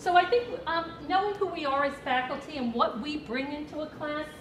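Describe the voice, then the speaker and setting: A woman speaks with a Brooklyn accent at a high pitch. Her voice carries audible room echo. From Brooklyn, New York. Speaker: nursing professor. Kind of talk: presentation.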